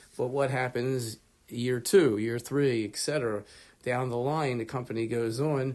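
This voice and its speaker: A man's medium-pitched voice with an American accent, fairly slow pace and fairly even intonation. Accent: Baltimore accent, heavy at times. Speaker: lecturer. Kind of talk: lecture. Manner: casual, conversational.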